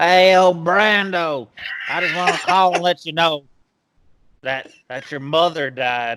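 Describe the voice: A man puts on a gravelly, high-pitched character voice with ordinary pitch variation, speaking at a fairly slow pace with long, frequent pauses.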